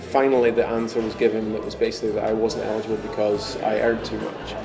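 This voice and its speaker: Over music in the background, a man talks at a very fast pace in a monotone, flat way. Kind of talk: interview answer. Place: office.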